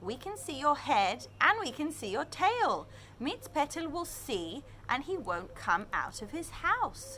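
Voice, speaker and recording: Using a put-on character voice, a woman speaks at a high pitch over clear background noise. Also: fairly slow pace. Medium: read story.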